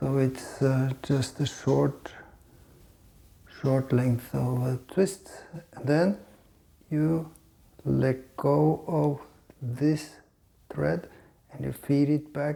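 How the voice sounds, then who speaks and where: Very slow and broken by long, frequent pauses, a man speaks at a medium pitch with a non-native accent. His tone is dark and mellow, somewhat breathy, with ordinary pitch variation. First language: not English. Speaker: fly fishing instructor. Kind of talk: tutorial. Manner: halting, with fillers.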